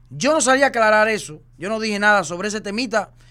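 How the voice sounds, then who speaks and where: A man with a high pitch and a bright, sharp tone speaks in a raised, projected voice, animated and full of lively intonation. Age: 30s. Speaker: social media personality. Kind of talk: casual chat.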